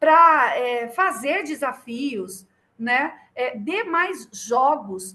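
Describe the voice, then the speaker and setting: Raising and projecting her voice, a woman speaks at a high pitch in a bright, sharp tone with lively intonation. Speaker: children's ministry teacher. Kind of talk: online training lecture. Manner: animated.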